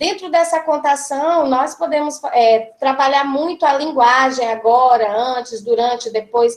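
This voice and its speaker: The speaker is a woman with a high pitch. Her intonation is lively. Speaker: school coordinator, early childhood educator. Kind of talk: seminar presentation. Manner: halting, many repetitions and fillers.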